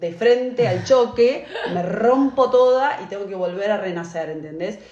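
Amid audible room echo and noticeable background noise, a woman speaks at a moderate pace with lively intonation. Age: 40s. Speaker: podcast co-host. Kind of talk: casual chat.

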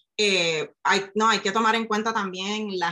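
Her tone is bright and sharp, with fairly even intonation. The woman talks at a medium pitch and a fairly slow pace. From Puerto Rico, rural north coast. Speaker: science communicator and neuroscientist. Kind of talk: interview conversation.

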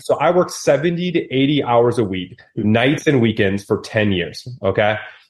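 A man with an American accent speaks at a moderate pace, his medium-pitched voice somewhat breathy and his intonation lively. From Wisconsin, US Midwest. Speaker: real estate investor and entrepreneur. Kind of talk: podcast interview. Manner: animated.

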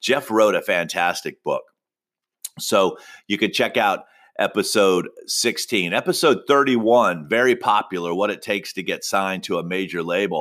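A man's unremarkable speaking voice, fairly low in pitch, at a moderate pace with ordinary pitch variation. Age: 50s. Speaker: podcast host and music manager. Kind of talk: solo podcast monologue. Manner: casual with frequent fillers.

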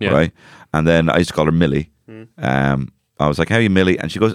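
In a Dublin accent, a man talks at a very fast pace in a very deep, low voice with ordinary pitch variation, the sound dry and close with no echo. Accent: Dublin, Irish. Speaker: podcast co-host. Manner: casual, joking, profane.

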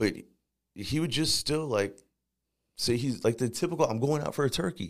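Using an American accent, a man at medium pitch talks at a moderate pace with lively intonation and long, frequent pauses. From Northern Virginia (Fairfax County) and St. Louis. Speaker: formerly incarcerated reentry advocate. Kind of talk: interview, personal life story.

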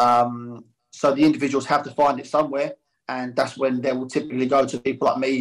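A man with an unremarkable speaking voice talks at a fairly quick pace in a medium pitch, his intonation fairly even. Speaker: youth football coach. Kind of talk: casual interview.

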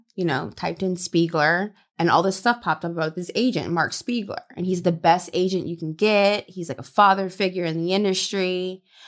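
A woman with an unremarkable speaking voice talks at medium pitch and a moderate pace, keeping her intonation fairly even. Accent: American. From US South, Louisiana. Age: 30s. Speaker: adult film performer. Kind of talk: casual chat.

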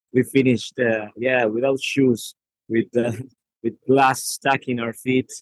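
A man with a Spanish accent, medium in pitch, flat and monotone, at a fairly slow pace, in a dry, close recording with no echo. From Argentina. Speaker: football journalist. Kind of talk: casual chat. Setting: at the stadium.

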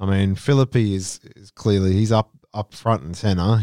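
In an Australian accent, a man talks with a fairly low pitch, a dark, mellow tone and ordinary pitch variation, in a very clean recording with a silent background and a dry, close sound with no echo. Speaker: cricket podcast co-host. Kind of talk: casual chat.

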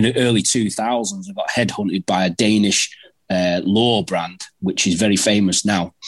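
A man with a Mancunian accent at a moderate pace. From Manchester, northern England. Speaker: predator angler. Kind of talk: casual chat. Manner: halting, repeats words.

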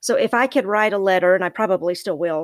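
A woman with a Southern US accent talks at a fairly quick pace and medium pitch, her voice dry and close with no echo in a very clean recording with a silent background. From US South. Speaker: podcast guest, host's mother. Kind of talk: casual chat. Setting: recording in a closet.

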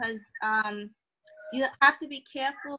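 A woman with an American accent, bright, sharp tone, fairly even intonation and fairly slow pace. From New York. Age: 30s. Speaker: author and financial educator. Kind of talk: panel discussion.

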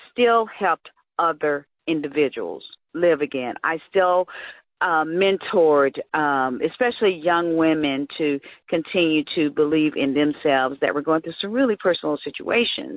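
The speaker has a normal speaking voice. The pace is fairly slow. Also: woman. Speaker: nonprofit founder and event MC. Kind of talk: interview.

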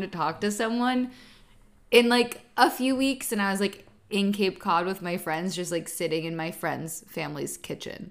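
This speaker talks at a moderate pace with an American accent and ordinary pitch variation, on a very clean recording with a silent background. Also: woman. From Southern California. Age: 20s. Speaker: graduate student. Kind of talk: casual chat. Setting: podcast recording with mic.

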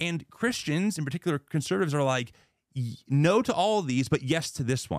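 This man has a plain, everyday voice, fairly high in pitch, delivered at a fairly quick pace with lively intonation. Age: 30s. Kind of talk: debate-style interview conversation.

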